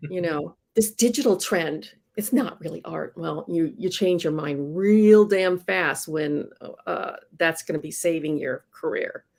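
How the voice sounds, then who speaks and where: In a normal speaking voice, the speaker moves at a fairly slow pace with lively intonation. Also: woman, fairly low pitch for a woman. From Iowa, US Midwest. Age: 60s. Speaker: comic book inker. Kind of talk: casual interview chat.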